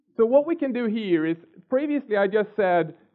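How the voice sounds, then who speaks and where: Against a quiet background, a man talks at a very fast pace. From Sweden. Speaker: software developer. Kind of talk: technical lecture with live coding. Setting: conference stage with audience. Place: hall.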